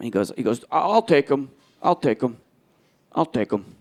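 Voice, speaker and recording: A man's medium-pitched voice with an American accent and lively intonation. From New Jersey. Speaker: stand-up comedian. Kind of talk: live stand-up comedy set.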